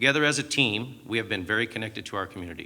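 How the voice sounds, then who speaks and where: A man's fairly low, bright and sharp voice in a Southern California accent, fairly quick, with ordinary pitch variation. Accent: General American (Southern California). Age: 50s. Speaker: mayoral candidate. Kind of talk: prepared campaign statement. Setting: stage with audience. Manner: formal.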